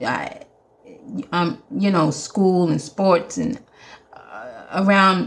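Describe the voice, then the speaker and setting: A woman's somewhat breathy voice at medium pitch. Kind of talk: solo podcast monologue, faith-based advice. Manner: animated.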